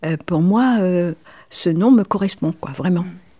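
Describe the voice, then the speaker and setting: A woman's fairly low-pitched voice with a dark, mellow tone, ordinary pitch variation, and a fairly slow pace. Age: 70s. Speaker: retired travel guide. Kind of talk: casual chat. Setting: at home over lunch. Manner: halting.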